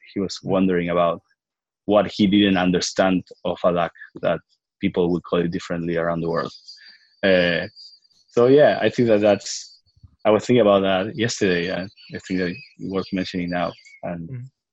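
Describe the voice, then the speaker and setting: A man with a very deep, low pitch talks at a fairly quick pace with fairly even intonation and long, frequent pauses. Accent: Spanish. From Argentina. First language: Spanish. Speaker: biotech startup founder and CEO. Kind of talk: interview. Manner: halting, many fillers and repeats.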